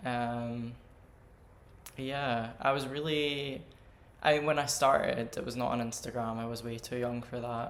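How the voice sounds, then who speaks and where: A man with a Scottish accent at a medium pitch and a fairly slow pace, with monotone, flat intonation, long, frequent pauses and audible room echo. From Scottish Highlands. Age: 20s. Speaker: drag artist. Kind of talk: casual interview.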